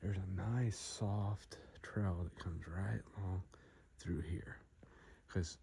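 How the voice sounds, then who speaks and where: A man whispering, somewhat breathy. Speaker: hunting vlogger. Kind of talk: outdoor vlog narration. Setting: outdoors in the woods.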